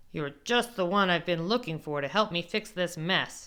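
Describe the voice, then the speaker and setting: In a put-on, growling character voice, a female-sounding speaker talks at a moderate pace and middle pitch on a very clean recording with a silent background. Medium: read story.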